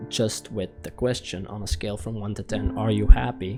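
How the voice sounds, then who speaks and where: A man's fairly low voice shows ordinary pitch variation as music plays in the background. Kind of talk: personal video essay monologue. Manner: hesitant, casual, lots of fillers.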